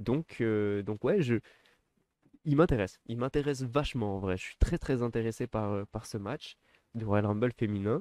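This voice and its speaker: This man talks at a moderate pace in a dark, mellow tone, with long, frequent pauses. The sound is dry and close with no echo, on a very clean recording with a silent background. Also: medium pitch for a man, ordinary pitch variation. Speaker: wrestling commentator youtuber. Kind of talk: casual solo commentary. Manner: hesitant, stammering.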